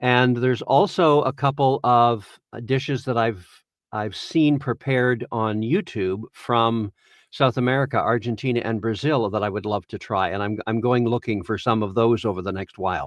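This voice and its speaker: Dry and close with no echo, this recording has a quiet background and a man with a Canadian accent speaking in a normal speaking voice. He talks at a moderate pace with a medium pitch and ordinary pitch variation. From Ontario, Canada. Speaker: voice actor. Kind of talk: interview conversation.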